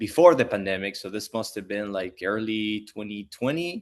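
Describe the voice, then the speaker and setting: With a Spanish accent, a man speaks at a fairly low pitch. His pitch variation is ordinary, and the background is quiet. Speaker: pool industry educator. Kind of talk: interview conversation.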